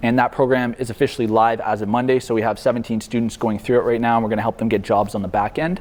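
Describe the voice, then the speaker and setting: A man at a medium pitch and a very fast pace, with fairly even intonation and noticeable background noise. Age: 20s. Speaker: marketing agency founder. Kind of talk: guest talk to university class. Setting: university classroom. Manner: casual.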